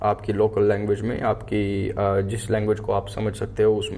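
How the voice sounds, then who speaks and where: There is vocal fry in this man's fairly low voice, which has a dark, mellow tone. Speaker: sound engineer, music tutorial YouTuber. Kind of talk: tutorial. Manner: casual with fillers and English code-switching.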